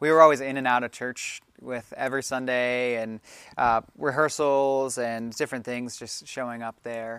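With a normal speaking voice, a man talks at medium pitch and a fairly slow pace with fairly even intonation, on a very clean recording with a silent background. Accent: American. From Maryland. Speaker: youth and family minister. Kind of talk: casual interview.

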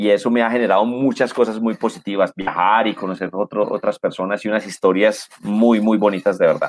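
With hardly any pauses, a man talks at a fairly quick pace in a fairly low, monotone, flat voice, the sound dry and close with no echo. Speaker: radio and TV presenter. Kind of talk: casual chat. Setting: video call.

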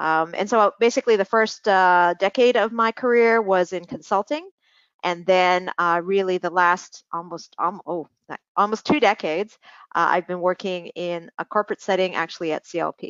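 Her pitch is medium and varies in an ordinary way. This woman uses a normal speaking voice at a moderate pace. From Hong Kong and Canada. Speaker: environmental professional. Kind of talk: interview.

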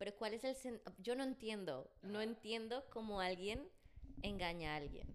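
With very even loudness and lively intonation, the voice moves at a fairly slow pace. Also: woman, fairly high pitch for a woman. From Colombia, Bogotá. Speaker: podcast guest, singer. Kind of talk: casual chat. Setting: studio.

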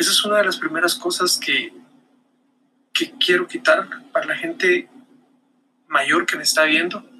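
Projecting a raised voice, a man with a high pitch makes very wide pitch swings at a moderate pace, leaving long, frequent pauses. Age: 40s. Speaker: marketing podcaster. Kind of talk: solo video monologue. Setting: recorded on camera. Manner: hesitant repetitions.

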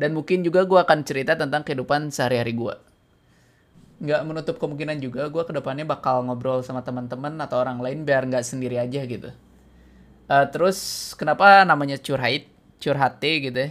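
A man with an unremarkable speaking voice talks at a fairly quick pace with a fairly high pitch and fairly even intonation, on a very clean recording with a silent background. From Bandung, West Java, Indonesia. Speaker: podcast host, software developer. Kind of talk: casual solo monologue.

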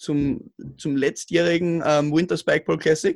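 A man speaks at a fairly high pitch in an Austrian accent. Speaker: roundnet player. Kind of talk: casual chat. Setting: remote call. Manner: mumbling.

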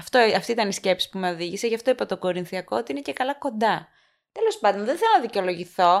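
The voice moves at a fairly quick pace through very wide pitch swings, on a very clean recording with a silent background. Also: woman. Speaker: podcast co-host, quiz contestant. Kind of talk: casual chat.

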